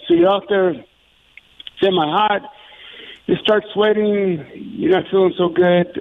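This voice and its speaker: With noticeable background noise in the mix, a man speaks at a fairly slow pace. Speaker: paramedic and CPR instructor. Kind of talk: interview. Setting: phone call.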